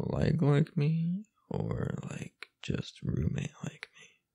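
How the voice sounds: A man puts on a character voice at a slow pace, with a fairly high pitch, very wide pitch swings, vocal fry, a slightly husky edge and a dark, mellow tone.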